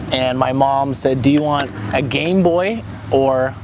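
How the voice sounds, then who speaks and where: There's ordinary pitch variation in this male voice. Around it, you can hear noticeable background noise and an audible room echo. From Canada, Alberta (Calgary, Cochrane). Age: 20s. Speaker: skateboarder and youth volunteer. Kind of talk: casual interview.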